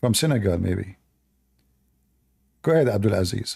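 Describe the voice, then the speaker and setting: A man's fairly low, somewhat breathy voice at a moderate pace, with lively intonation. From Middle East. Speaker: religious debater. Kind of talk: heated debate. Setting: livestream video call. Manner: animated.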